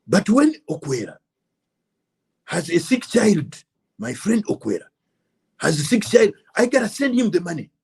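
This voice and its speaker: A man speaks at a moderate pace in a high voice with very wide pitch swings and long, frequent pauses. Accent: Ugandan. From Uganda. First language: Luganda. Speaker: political commentator. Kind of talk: political monologue. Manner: impassioned.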